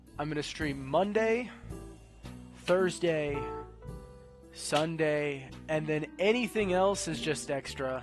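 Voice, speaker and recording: With music in the background, a man with a fairly high pitch talks at a very slow pace and ordinary pitch variation. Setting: stream. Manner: casual, streamer talk.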